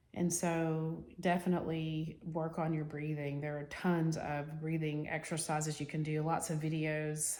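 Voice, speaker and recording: Audible room echo surrounds a woman who speaks with a very deep, low pitch in a monotone, flat intonation at a moderate pace. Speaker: self-help vlogger. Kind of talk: personal advice monologue. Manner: casual, with fillers.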